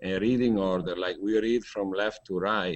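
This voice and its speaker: A man speaks with an Italian accent at a fairly low pitch. His pitch varies in an ordinary way. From Italy. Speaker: hangout participant, interviewer. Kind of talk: group video chat discussion. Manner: halting, many fillers.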